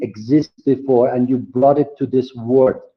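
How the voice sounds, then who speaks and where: A man's fairly high voice in a Persian accent, at a fairly slow pace. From Iran. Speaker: graphic designer and educator. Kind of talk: online conference presentation. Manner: halting, many fillers.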